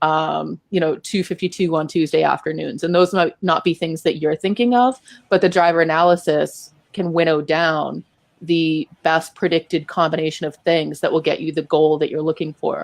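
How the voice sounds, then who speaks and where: A woman's fairly low voice at a moderate pace, fairly even in intonation, with a dry, close sound and no echo. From Boston. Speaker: data analytics speaker. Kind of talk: interview on live web show.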